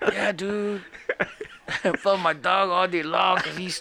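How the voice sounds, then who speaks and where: A man with an American accent speaks in a raised, projected voice at a high pitch. His pace is fairly slow, with noticeable background noise. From San Antonio, Texas. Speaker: podcast host, film reviewer. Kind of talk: casual chat, podcast banter.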